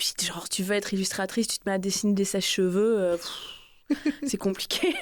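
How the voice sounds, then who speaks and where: This woman's medium pitch shows ordinary variation as she talks at a moderate speed. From northern France, Lille. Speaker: author. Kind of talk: interview. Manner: halting, many repetitions; casual.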